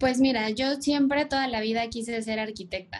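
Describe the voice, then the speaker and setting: A woman talks at a moderate pace in a fairly high pitch. Her intonation stays fairly even. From Mexico City. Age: 30s. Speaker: commercial airline pilot. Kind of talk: podcast interview.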